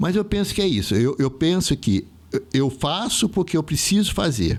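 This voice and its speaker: With vocal fry and a fairly high pitch, this man swings his pitch very widely while holding his loudness very even. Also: moderate pace. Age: 60s. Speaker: theatre artist. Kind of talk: casual chat.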